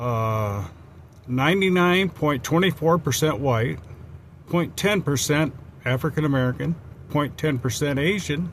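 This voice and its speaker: A somewhat breathy man talks at a fairly slow pace with lively intonation, very even loudness, and long, frequent pauses. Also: fairly high pitch for a man. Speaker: travel vlogger. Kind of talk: casual vlog narration. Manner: stutters a little; halting.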